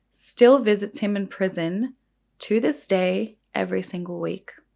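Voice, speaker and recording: Her voice shaky and medium in pitch, a woman speaks at a fairly slow pace with ordinary pitch variation. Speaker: beauty and true crime youtuber. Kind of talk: true crime storytelling while doing makeup. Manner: shaky voice; animated, casual.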